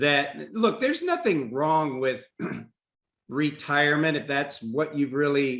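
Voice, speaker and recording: A man with an American accent and a fairly high pitch, a plain, everyday voice, a fairly slow pace, and a quiet background. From Texas. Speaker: career and executive coach. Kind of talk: casual chat.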